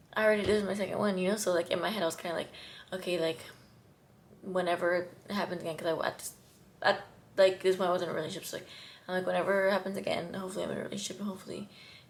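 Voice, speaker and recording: The speech is very fast and monotone, with flat intonation, long, frequent pauses, and noticeable background noise. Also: woman, medium pitch for a woman. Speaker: vlogger. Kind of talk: personal testimony to camera. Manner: halting, stuttering.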